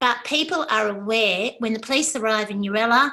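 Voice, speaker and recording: With an Australian accent, a woman talks at a moderate pace in a fairly high pitch, her tone bright and sharp and her pitch varying normally. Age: 60s. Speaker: academic presenter. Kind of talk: conference talk.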